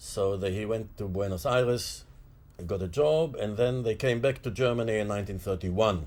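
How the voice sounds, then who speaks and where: A man with a fairly low, somewhat breathy voice talks at a moderate pace. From Mandate Palestine / Israel. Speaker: political activist. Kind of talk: interview. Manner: halting, with frequent fillers.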